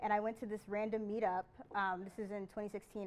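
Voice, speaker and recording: The woman's words come at a fairly quick pace. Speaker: presenter. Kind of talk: conference talk, personal story. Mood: lighthearted, laughing. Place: hall. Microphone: podium.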